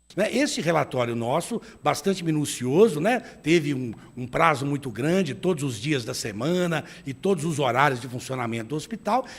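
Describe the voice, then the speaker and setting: This man has a Minas Gerais accent and a fairly high pitch. He talks at a moderate pace. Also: lively intonation. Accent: mineiro accent, noticeable. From Minas Gerais, Brazil (Belo Horizonte). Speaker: retired doctor and lawyer, health commission head. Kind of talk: TV interview.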